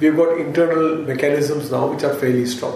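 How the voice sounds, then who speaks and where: Amid noticeable background noise and audible room echo, a man talks at a fairly high pitch. His pace is fairly quick. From India. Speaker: corporate executive. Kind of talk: interview. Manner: halting, with frequent fillers and repeated words.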